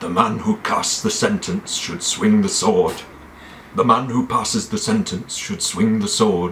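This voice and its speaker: A man's gruff, put-on character voice, solemn and stern in tone, at a moderate pace over clear background noise. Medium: solo performance. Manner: solemn, stern.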